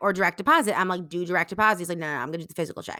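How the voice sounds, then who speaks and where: Over a silent background on a very clean recording, a woman speaks in a bright, sharp tone. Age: 20s. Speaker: guest co-host sharing dating experience. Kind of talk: casual chat.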